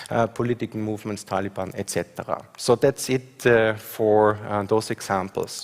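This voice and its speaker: A man speaks with an Austrian accent at a fairly low pitch. His intonation is monotone and flat. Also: moderate pace, hardly any pauses. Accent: Austrian (own remark on his dialect). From Austria, Graz. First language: German. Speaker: professor. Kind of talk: conference talk with slides. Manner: hesitant, many fillers.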